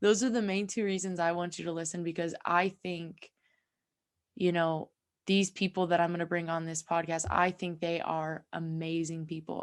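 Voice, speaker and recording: The recording is very clean with a silent background as a woman speaks at a moderate pace. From California. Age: 20s. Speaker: podcast host. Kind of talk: casual podcast monologue. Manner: animated.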